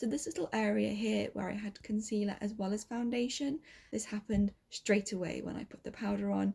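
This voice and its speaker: A woman talks with a British accent. Her pace is moderate. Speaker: beauty vlogger. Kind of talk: makeup review vlog. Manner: quiet, talking softly.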